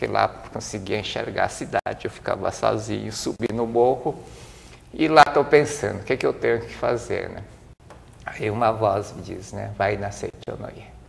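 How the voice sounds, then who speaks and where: A man talks at a moderate pace, his loudness swinging in big ways. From Brazil, interior of São Paulo state. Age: 60s. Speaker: business administrator and speaker. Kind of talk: interview.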